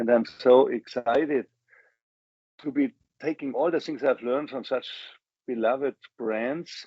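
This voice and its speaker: With a German accent, a man speaks at a moderate pace in a medium pitch. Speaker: business executive. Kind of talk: interview. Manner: enthusiastic.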